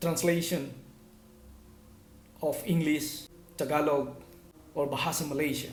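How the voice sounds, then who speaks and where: At a fairly high pitch, a man speaks at a moderate pace with ordinary pitch variation. Audible room echo surrounds the voice. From Philippines, northern Luzon (Cagayan Valley). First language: Ilocano. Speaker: language teacher / vlogger. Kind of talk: tutorial.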